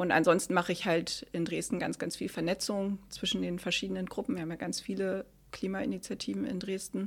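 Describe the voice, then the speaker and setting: A woman's normal speaking voice, medium in pitch and fairly quick, on a very clean recording with a silent background. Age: 30s. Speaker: climate activist. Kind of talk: interview. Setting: office rooms.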